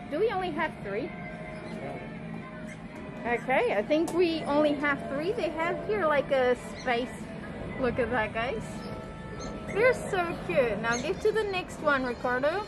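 A woman at a fairly slow pace with long, frequent pauses, clear music in the background. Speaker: travel vlogger. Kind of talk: casual vlog chat. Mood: excited, delighted. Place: cafe. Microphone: phone near.

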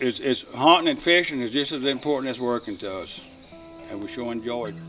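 A man with a Louisiana accent talks at a fairly quick pace, with lively intonation at a medium pitch. Clear music plays in the background. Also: big swings in loudness. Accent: Cajun Louisiana. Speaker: duck call maker and hunter. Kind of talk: casual documentary interview. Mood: warm, nostalgic. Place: forest.

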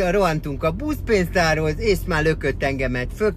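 Music plays in the background as a man speaks at a fairly slow pace, the sound dry with no echo. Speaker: vlogger. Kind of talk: casual vlog chat, storytelling. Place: car. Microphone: phone near.

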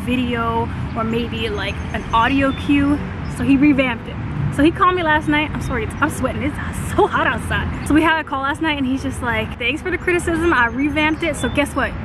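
A woman talks at a fairly quick pace in dry sound with no echo, with noticeable background noise. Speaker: fitness vlogger. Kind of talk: casual vlog chat. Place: open country. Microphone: phone near.

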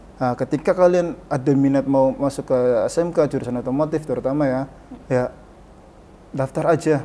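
A man with a fairly high pitch and a dark, mellow tone speaks with fairly even intonation over light background noise. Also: moderate pace. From Indonesia, Brebes, Central Java; Central Java, Indonesia. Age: 30s. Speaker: vocational school automotive department head; vocational school teacher guest. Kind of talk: casual interview. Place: studio.

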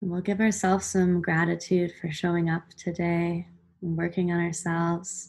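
Soft-spoken and somewhat breathy, the voice has a soothing, gentle tone and monotone, flat intonation over a quiet background. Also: woman, fairly low pitch for a woman. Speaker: meditation guide. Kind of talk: guided meditation. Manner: slow, soothing, gentle pacing with calm pauses; soft-spoken, warm, instructional. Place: home room. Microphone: webcam.

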